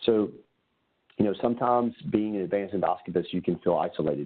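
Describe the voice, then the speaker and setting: Talking at a very fast pace, a man with a Southern Louisiana accent uses ordinary pitch variation. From south Louisiana. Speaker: gastroenterologist. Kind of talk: webinar presentation. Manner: casual, with many fillers.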